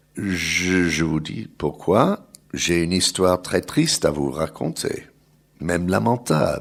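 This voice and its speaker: Very slow is the pace of this man's speech. He speaks with an English accent. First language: English (speaking French). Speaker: journalist and think-tank researcher. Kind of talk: panel talk. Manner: halting.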